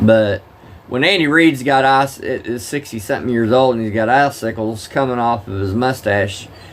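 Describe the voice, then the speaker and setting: Medium-pitched man with a strong Southern US accent, ordinary pitch variation, and noticeable background noise. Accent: thick Southern drawl. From Oklahoma. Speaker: live-streamer, former truck driver. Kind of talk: casual live-stream chat with game commentary. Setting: live stream at home.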